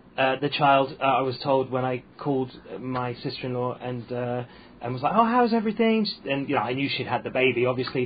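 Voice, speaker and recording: A man with a medium pitch and a somewhat breathy voice talks at a moderate pace with ordinary pitch variation. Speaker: stand-up comedian. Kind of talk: casual chat. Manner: halting.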